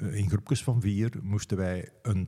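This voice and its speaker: In a very clean recording with a silent background, a man speaks at a fairly low pitch. His tone is dark and mellow, and somewhat breathy. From Flemish Brabant, Belgium (Meensel, Hageland). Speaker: city guide and storyteller. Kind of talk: interview, storytelling.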